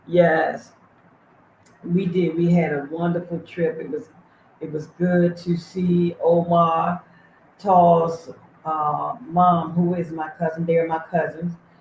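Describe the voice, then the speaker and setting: A somewhat breathy, monotone voice with an American accent, very slow, with long and frequent pauses. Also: woman, fairly low pitch for a woman. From USA. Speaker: livestream host and charity founder. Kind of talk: casual livestream chat. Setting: livestream, reading chat.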